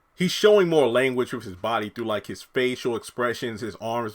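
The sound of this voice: Someone reads in an unforced reading voice. The intonation rises and falls in a lively way.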